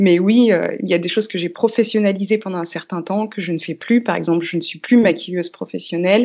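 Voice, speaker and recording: A woman's plain, everyday voice at medium pitch with ordinary pitch variation. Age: 30s. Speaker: dancer and multidisciplinary artist. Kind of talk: casual interview.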